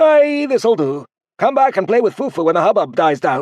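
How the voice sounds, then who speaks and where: Using a high, put-on character voice with very wide pitch swings, a man speaks at a moderate pace against a quiet background. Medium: read story. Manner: warm, chatty.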